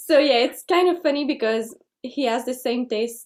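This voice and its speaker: Her voice is high and her intonation lively. The woman speaks in a Quebec accent. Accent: French Canadian accent in English. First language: French. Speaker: folk singer. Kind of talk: interview. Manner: halting.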